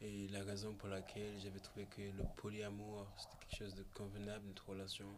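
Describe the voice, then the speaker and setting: This man talks at a fairly quick pace with hardly any pauses. His pitch is fairly low, and the room echo is audible. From Réunion. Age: 20s. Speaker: photographer and musician. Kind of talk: casual chat. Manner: halting.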